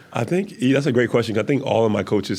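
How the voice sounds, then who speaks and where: A man is speaking. His voice has vocal fry. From Jamaica (Kingston), moved to Miami at 12. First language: Jamaican Patois. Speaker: former athlete turned business owner. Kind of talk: podcast interview. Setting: studio with cameras. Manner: fast.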